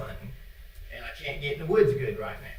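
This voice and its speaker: Amid noticeable background noise and audible room echo, a man talks with an American accent. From Indiana. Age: 70s. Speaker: public commenter, dog hunter. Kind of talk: public comment at a meeting. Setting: county board meeting room. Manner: casual, plainspoken.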